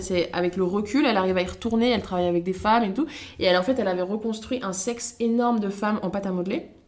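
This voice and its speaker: A woman rushes through her words very fast while noticeable background noise carries on. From France, Loiret (Montargis). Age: 20s. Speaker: social media creator and former cook. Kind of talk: casual interview chat. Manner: energetic.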